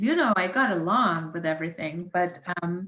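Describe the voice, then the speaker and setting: In a German accent, a woman speaks at a fairly slow pace. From Germany. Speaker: environmental scientist. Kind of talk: science talk with Q&A. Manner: hesitant, many fillers.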